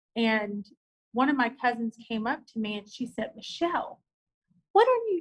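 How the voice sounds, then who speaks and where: With a Southern US accent, a woman speaks. Her tone is animated. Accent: Southern country. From US South, rural. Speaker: business owner. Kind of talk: casual interview chat.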